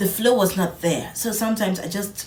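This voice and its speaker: A soft-spoken woman talks at a moderate pace. The recording has noticeable background noise and audible room echo. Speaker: vlogger. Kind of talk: casual vlog talk.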